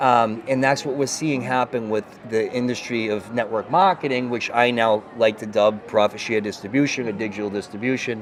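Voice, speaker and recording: Over noticeable background noise, a man with a Boston accent talks at a moderate pace and medium pitch, hardly pausing at all. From Boston, US. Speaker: network marketing leader. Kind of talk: interview. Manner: animated, with many fillers.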